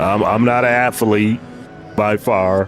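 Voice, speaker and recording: A man's fairly low voice with fairly even intonation, music playing in the background. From Detroit, Michigan, US. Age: 50s. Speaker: sim racing streamer. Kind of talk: casual livestream chat. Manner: halting, repetitive.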